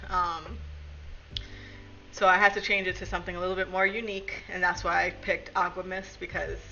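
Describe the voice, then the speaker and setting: Noticeable background noise runs behind a woman speaking with a Brooklyn accent. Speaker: streamer. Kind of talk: casual chat.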